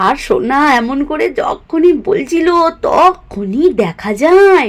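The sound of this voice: This woman has a high-pitched voice. She talks slowly. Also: lively intonation.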